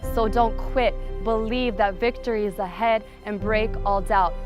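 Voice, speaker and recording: Music plays in the background as a woman speaks with a fairly high pitch and ordinary pitch variation. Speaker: spoken word poet. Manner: earnest, encouraging.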